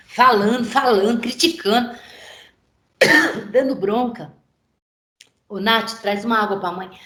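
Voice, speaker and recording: At a fairly slow pace, a woman with a fairly high voice speaks with long, frequent pauses, ordinary pitch variation and big swings in loudness, with audible room echo around her. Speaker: pastor teaching a course. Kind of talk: online lecture.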